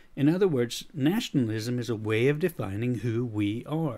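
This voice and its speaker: The recording is very clean, with a silent background. A man with an American accent talks at a moderate pace and medium pitch, with ordinary pitch variation. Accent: American with a slight Swedish tinge. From USA. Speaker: leadership coach and podcaster. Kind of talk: scripted podcast monologue.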